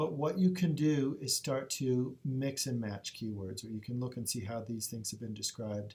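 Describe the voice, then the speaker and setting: Fairly quick, somewhat breathy speech with ordinary pitch variation. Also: man. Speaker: librarian. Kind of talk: tutorial. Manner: fast.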